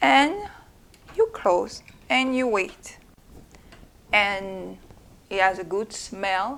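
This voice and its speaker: Speaking with a French accent, a woman has a medium pitch and ordinary pitch variation. She goes very slowly, with long, frequent pauses. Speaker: home cook. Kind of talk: cooking tutorial. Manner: halting. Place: kitchen.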